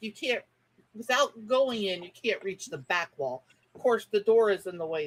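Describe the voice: Lively intonation in plain reading aloud, set against a quiet background.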